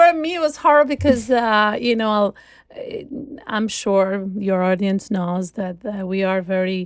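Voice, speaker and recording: On a very clean recording with a silent background, a woman with an Albanian accent speaks at a fairly slow pace with lively intonation. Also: medium pitch for a woman. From Albania (Shkodra). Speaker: concert cellist. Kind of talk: interview conversation. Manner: halting, many fillers.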